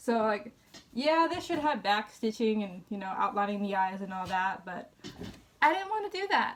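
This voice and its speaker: Over noticeable background noise, a woman with fairly high pitch talks at a moderate pace, her pitch swinging very widely. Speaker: crafting vlogger. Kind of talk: casual show-and-tell vlog.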